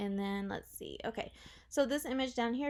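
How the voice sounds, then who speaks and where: A woman speaks with lively intonation. The recording is very clean, with a silent background. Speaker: web theme designer. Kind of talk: tutorial. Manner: fast; casual.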